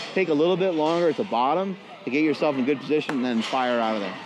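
Over clear background music, a man talks at a very fast pace. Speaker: strength coach. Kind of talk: coaching instruction. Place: gym.

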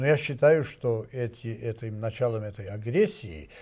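Somewhat breathy, a man speaks in a dark, mellow tone at a moderate pace. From Serbia. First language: Serbian (speaking Russian). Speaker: ambassador; guest. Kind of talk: studio discussion; interview answer. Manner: halting. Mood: serious, indignant. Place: studio.

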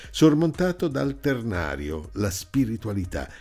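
A man with vocal fry talks at a fairly slow pace, his pitch swinging very widely. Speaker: broadcaster and documentary narrator. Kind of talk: documentary narration.

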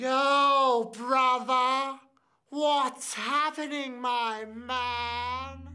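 A woman's put-on character voice, gravelly and high-pitched, very slow, with monotone, flat intonation. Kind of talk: urban street slang.

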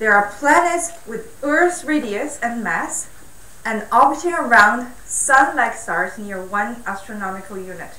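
A woman's voice carries lively intonation through audible room echo. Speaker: speaker. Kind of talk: lecture. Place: hall.

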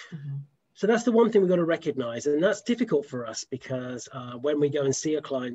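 Over a quiet background, a man with a British accent talks at a fairly quick pace. His fairly high voice has a dark, mellow tone and lively intonation. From UK. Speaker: dog behavior practitioner; host. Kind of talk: casual chat. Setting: video call. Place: home room. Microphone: video call.

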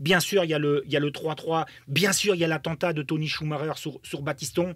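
Talking at a fairly quick pace in an animated tone, a man is heard in a dry sound with no echo against a quiet background. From Germany. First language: German (speaking French). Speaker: football pundit, former footballer; football pundit. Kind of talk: podcast interview. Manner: animated, many hesitations and repetitions. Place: studio. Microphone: studio mic.

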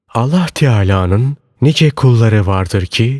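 Very slowly, a man of medium pitch speaks with lively intonation on a very clean recording with a silent background, dry and close with no echo. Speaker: audiobook narrator. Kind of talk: reading aloud of religious sermon text.

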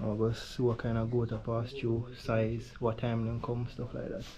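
This man's voice sits at a medium pitch and moves at a moderate pace. His intonation is monotone and flat.

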